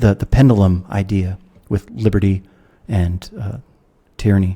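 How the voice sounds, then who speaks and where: With an American accent, a man speaks at a moderate pace in a somewhat breathy, dark, mellow tone, his fairly low voice showing ordinary pitch variation. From United States. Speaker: philosopher, author. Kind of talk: podcast interview.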